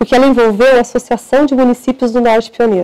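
Against a quiet background, a woman talks at a fairly quick pace with a fairly high pitch and fairly even intonation. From northern Paraná, Brazil. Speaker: prosecutor. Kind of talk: interview. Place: studio. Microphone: lapel.

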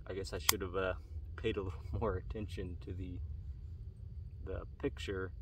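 A man speaks low with vocal fry and little pitch movement.

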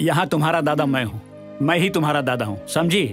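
Clear music plays in the background as a man talks at a moderate pace. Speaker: film actor playing a grandfather. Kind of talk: scripted film dialogue. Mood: warm, reassuring, paternal.

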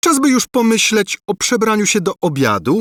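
A man puts on a character voice with a high pitch. He keeps a moderate pace in a dry, close sound with no echo. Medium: read story. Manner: good-natured, homely.

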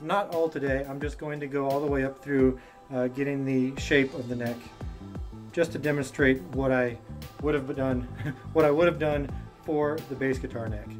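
With clear music in the background, the voice keeps a fairly even intonation. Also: man. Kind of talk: casual vlog chat. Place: garage. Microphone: camera far.

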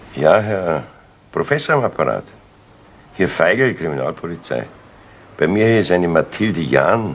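A man's put-on character voice, low-pitched and fairly slow, with big pitch swings and long, frequent pauses

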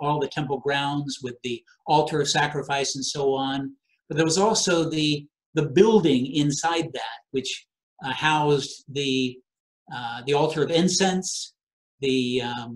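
Against a quiet background, a somewhat breathy voice moves at a fairly slow pace with ordinary pitch variation. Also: man. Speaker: preacher. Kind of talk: sermon. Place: home room.

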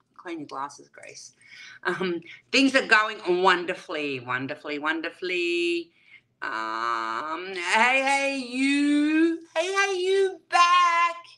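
Against a quiet background, a woman with an Australian accent speaks very slowly in a bright, sharp tone, with big swings in loudness and very wide pitch swings. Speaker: YouTube livestreamer. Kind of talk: livestream chat with viewers. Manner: animated. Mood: warm, cheerful. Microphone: webcam.

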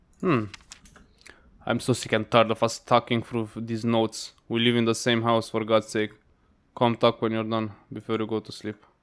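A man speaks at a moderate pace with monotone, flat intonation against a quiet background. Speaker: gaming streamer. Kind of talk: gameplay commentary. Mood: relaxed, mildly amused. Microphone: studio mic.

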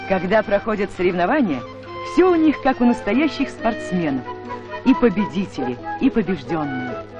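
Clear music plays in the background of this dry recording with no echo. The speech moves at a moderate pace. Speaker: newsreel narrator. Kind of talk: documentary narration. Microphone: old recording.

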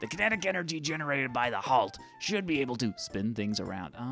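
Putting on a character voice at a medium pitch, a man speaks at a very fast pace with clear music in the background. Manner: imperious, hot-tempered.

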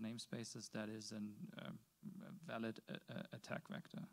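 Fairly quick in pace, a man talks at a medium pitch. He has a plain, everyday voice. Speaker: audience member, container software developer. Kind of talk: technical discussion. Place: meeting room. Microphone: handheld.

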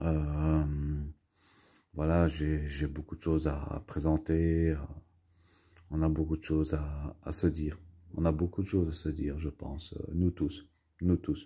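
Against a quiet background, a man with a very deep, low pitch and a dark, mellow, somewhat breathy tone speaks at a very slow pace in a monotone, flat intonation with long, frequent pauses. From Belgium, Brussels. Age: 40s. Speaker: YouTuber, collector; home vlogger. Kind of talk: casual vlog monologue; casual vlog chat. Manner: halting, many fillers and repetitions. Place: home room. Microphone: phone near.

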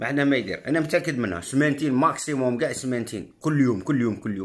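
Talking at a very fast pace, a man with an Algerian accent uses a fairly high pitch, lively intonation and an animated tone. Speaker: political commentator. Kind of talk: political monologue. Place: home room. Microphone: phone near.

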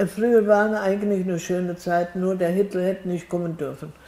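A woman's dark, mellow tone. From Wetzlar area, Hesse, Germany. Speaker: contemporary witness of the Nazi era. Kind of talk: interview answer. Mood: reflective, somber at times. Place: home room. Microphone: lapel.

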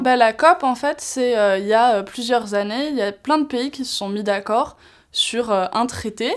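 A woman's high voice with ordinary pitch variation, at a fairly slow pace, over a quiet background. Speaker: youth climate delegate. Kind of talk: interview. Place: studio. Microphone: lapel.

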